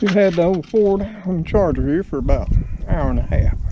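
A man speaks in a Southern US accent, his voice dry with no echo over noticeable background noise. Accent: Southern American. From Southern United States. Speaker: home mechanic. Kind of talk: casual talk to camera. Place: garden. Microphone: phone near.

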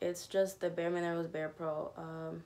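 At a fairly slow pace, a woman speaks in a fairly low voice over light background noise. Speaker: beauty vlogger. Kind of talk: casual makeup tutorial chat. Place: home room. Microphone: phone near.

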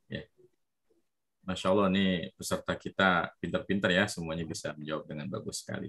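Bright, sharp tone with lively intonation at a fairly quick pace, over a quiet background. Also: man. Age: 30s. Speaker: Arabic teacher for children. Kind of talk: online language lesson. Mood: warm, encouraging praise. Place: open country. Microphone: video call.

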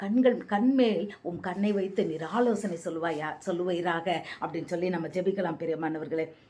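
A fairly low-pitched woman talks with ordinary pitch variation amid noticeable background noise. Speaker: evangelist. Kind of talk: bible teaching.

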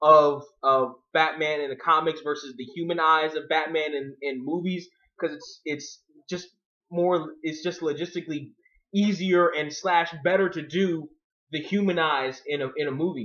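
A man talks at a middling speed, his pitch fairly level, against a quiet backdrop. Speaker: video blogger. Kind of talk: casual commentary. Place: home room. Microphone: webcam.

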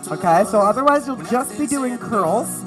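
A woman's fairly slow speech over clear music in the background. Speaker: fitness instructor. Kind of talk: workout instruction. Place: studio.

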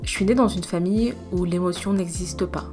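A woman talks while music plays in the background. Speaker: social sciences student. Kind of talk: personal narration.

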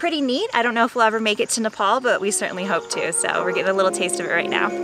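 Clear music plays in the background of a dry sound with no echo. A woman speaks at a very fast pace. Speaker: travel vlogger. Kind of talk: casual vlog chat. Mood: cheerful, enthusiastic. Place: forest.

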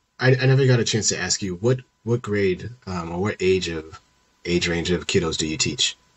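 This man has a very deep, low pitch and is somewhat breathy. He speaks at a moderate pace with ordinary pitch variation. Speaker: podcast host and middle school teacher; podcast host, middle school teacher. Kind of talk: casual interview. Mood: relaxed, conversational. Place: home room. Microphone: headset.

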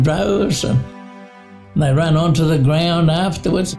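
A man talks at a moderate pace with a fairly high pitch and ordinary pitch variation. Clear music plays in the background. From Australia. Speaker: former rugby league player. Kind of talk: interview answer. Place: home room.

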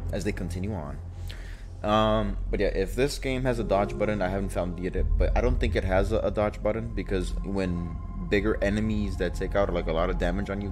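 A man talks at a fairly quick pace. Music plays clearly in the background. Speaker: gaming streamer. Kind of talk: casual gameplay commentary. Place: home room.

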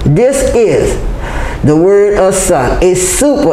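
Light background noise and audible room echo around a female voice. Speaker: religious teacher. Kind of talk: sermon-like lecture. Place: hall. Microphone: camera far.

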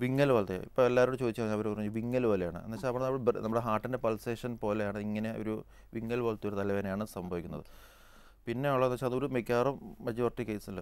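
The intonation stays fairly even, and the sound is dry with no echo. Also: man. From Kerala. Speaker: neurosurgeon; guest. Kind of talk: TV health phone-in. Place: studio. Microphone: lapel.

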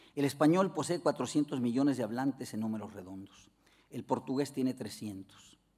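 A man's medium-pitched voice with a dark, mellow tone and a Mexican accent, at a moderate pace with lively intonation and big swings in loudness, over a quiet background. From Mexico. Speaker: philosopher and language academy director; keynote lecturer. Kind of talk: lecture. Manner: formal. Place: hall. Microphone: podium.

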